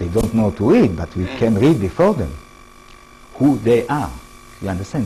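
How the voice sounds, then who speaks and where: Over music in the background and audible room echo, a man with an Israeli accent speaks at a fairly quick pace with lively intonation and long, frequent pauses. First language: Hebrew. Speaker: professor. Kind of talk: lecture. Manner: halting.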